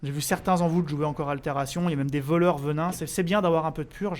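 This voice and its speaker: A man speaks at a very fast pace with a high pitch for a man. His intonation stays fairly even. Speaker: gaming streamer. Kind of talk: live stream gameplay commentary. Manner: casual, hesitant with fillers.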